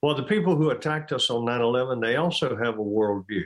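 Against a quiet background, a man with an ordinary speaking voice talks at a medium pitch with ordinary pitch variation. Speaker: retired army general. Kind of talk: interview.

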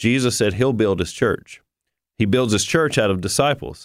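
A man speaks in a normal speaking voice at a moderate pace with ordinary pitch variation, on a very clean recording with a silent background. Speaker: ministry staff guest. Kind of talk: radio interview.

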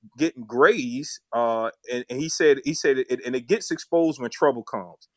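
A man speaks at a moderate pace in a Southern US accent. The sound is dry and close with no echo, against a quiet background. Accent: Southern US (Georgia). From US South, Savannah, Georgia. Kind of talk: interview testimony.

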